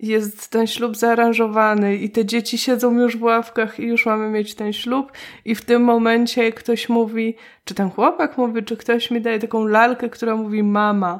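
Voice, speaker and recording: A woman's fairly high, monotone, flat voice at a moderate pace. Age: 30s. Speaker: podcast host. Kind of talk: casual chat.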